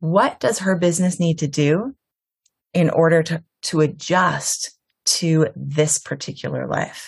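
A woman speaks at a fairly slow pace in a fairly low, somewhat breathy voice with ordinary pitch variation. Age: 40s. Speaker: business coach. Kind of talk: casual interview. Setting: video call.

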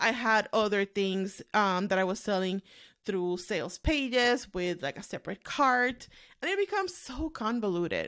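A woman's bright, sharp voice, fairly slow and lively in intonation, on a very clean recording with a silent background. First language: not English. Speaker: podcast host, online business owner. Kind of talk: solo podcast monologue. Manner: casual, frequent laughing.

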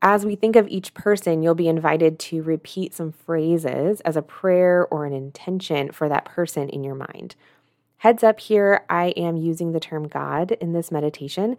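A woman speaks in a normal speaking voice, fairly low in pitch, with ordinary pitch variation and big swings in loudness. The sound is dry and close with no echo, a very clean recording with a silent background. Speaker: guided meditation host. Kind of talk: guided meditation. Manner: slow, calm and soothing, gently paced with pauses; soft-spoken, inviting.

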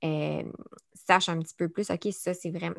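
A woman with a Quebec accent at a fairly slow pace, on a very clean recording with a silent background. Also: dry, close sound with no echo. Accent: Québécois French. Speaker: podcast host and speech-language pathologist. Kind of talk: casual interview. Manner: hesitant, many fillers.

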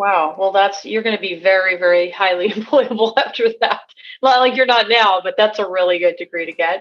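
A woman's normal speaking voice at a medium pitch, with ordinary pitch variation and a fairly quick pace. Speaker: podcast host, tradesperson. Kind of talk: interview. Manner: conversational, uses fillers.

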